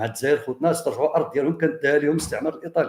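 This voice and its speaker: The man's voice has a somewhat breathy quality. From Morocco. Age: 60s. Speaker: history and heritage researcher, commentator. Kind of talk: monologue commentary addressed to viewers. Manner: animated; halting.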